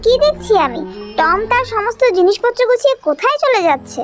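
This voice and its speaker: A cartoonish character voice pitched extremely high speaks at a moderate pace. Clear music plays in the background. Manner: cheeky, wheedling.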